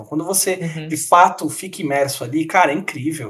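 A man speaks at a fairly quick pace with a fairly high pitch. Music plays in the background. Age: 20s. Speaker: podcast co-host. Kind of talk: casual chat.

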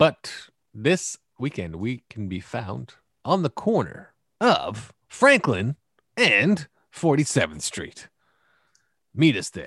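A man speaks at a very slow pace with long, frequent pauses and big swings in loudness, the sound dry and close with no echo. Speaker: podcast host. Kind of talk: casual comedic banter. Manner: joking, animated.

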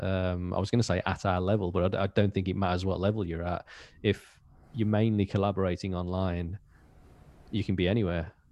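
This man has a very deep, low pitch and a Birmingham accent. His intonation is monotone and flat. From Birmingham, England. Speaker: metal band drummer. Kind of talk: casual interview.

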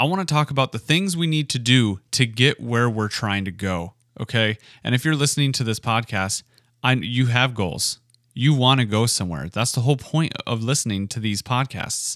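Medium in pitch, a man talks at a moderate pace in a plain, everyday voice with lively intonation. The recording is very clean, its background silent. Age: 30s. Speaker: podcast host, factory worker starting a business. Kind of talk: solo podcast monologue. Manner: casual, conversational.

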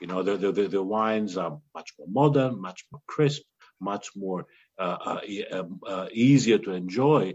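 Speaking with a Greek accent, a man uses a fairly low pitch with ordinary pitch variation. His fairly slow delivery has big swings in loudness. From Greece. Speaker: winemaker. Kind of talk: interview. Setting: video call.

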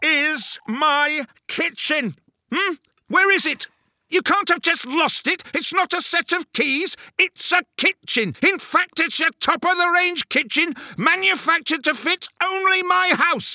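A man speaks at a fairly slow pace. His pitch is extremely high. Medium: audio drama. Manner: indignant, ranting, sarcastic.

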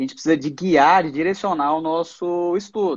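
The man's voice is high in pitch. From Goiás, Brazil. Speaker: radiology resident doctor. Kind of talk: interview on a live stream.

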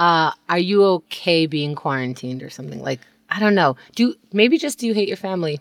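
A woman with an ordinary speaking voice talks fairly quickly in a fairly low pitch with lively intonation, recorded dry and close with no echo. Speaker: podcast co-host. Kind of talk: casual chat. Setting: home closet, isolation.

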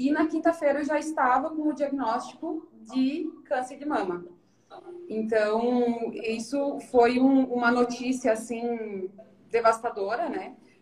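In a high pitch with ordinary pitch variation, a woman speaks at a very slow pace. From Santa Catarina, southern Brazil. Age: 30s. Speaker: financial advisor and cancer survivor. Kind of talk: interview testimony. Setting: Instagram live stream.

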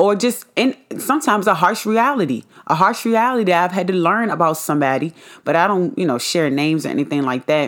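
This woman's medium-pitched voice moves at a very fast pace, animated in tone and sweeping through very wide pitch swings. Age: 20s. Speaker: podcast host. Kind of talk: casual monologue.

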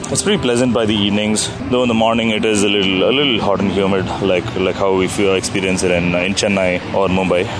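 Fairly quick and with hardly any pauses, a man speaks at a fairly low pitch, with fairly even intonation and very even loudness, amid noticeable background noise. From India, Coimbatore. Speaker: motorcycle traveler. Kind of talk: travel diary.

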